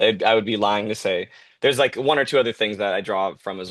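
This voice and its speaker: Very fast and fairly low-pitched, a man talks with an American accent. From Southern California, Santa Clarita. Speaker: director and puppeteer. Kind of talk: interview.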